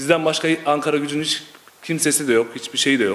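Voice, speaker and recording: A man speaks at a fairly quick pace. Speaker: football supporter. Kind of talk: casual interview. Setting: supporters' clubhouse. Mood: earnest, somewhat frustrated. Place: home room. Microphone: handheld.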